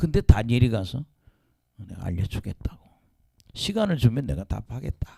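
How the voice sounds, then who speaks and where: Very wide pitch swings mark this man's somewhat breathy voice. The sound is dry and close, with no echo. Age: 70s. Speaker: pastor. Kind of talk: sermon.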